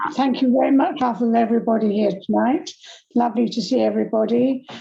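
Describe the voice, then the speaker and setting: Someone rattles along at a very fast pace in a put-on character voice that is raspy, hoarse and croaky. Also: woman, fairly high pitch for a woman. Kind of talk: polite public speech of thanks.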